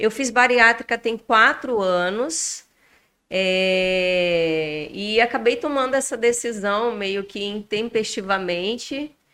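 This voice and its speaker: A woman talks at a very slow pace with a fairly high pitch and ordinary pitch variation. The recording is very clean, with a silent background. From Rondônia, Brazil. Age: 40s. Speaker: bariatric surgery patient. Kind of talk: podcast interview.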